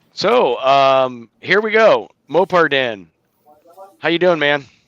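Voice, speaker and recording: A man's fairly high voice with lively intonation, a very slow pace and an American accent. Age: 40s. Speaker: livestream host. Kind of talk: casual chat.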